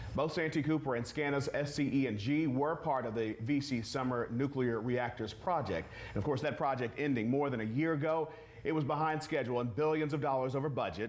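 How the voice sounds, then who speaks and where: This man has an ordinary speaking voice with a fairly high pitch. His loudness stays very even, and his pitch varies in an ordinary way. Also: fairly quick pace. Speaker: TV news co-anchor. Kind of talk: TV news anchoring.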